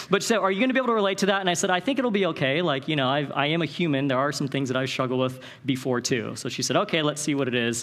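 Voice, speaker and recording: A man at a very fast pace with hardly any pauses, his pitch fairly high and his intonation lively. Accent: American. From Northern California. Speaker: Bible college director and conference speaker. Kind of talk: conference talk. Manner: animated.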